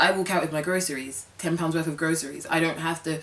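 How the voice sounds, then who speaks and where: Very deep and low in pitch, a woman speaks with a British accent. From London, England. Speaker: lifestyle vlogger. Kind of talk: casual vlog talk to camera. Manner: animated.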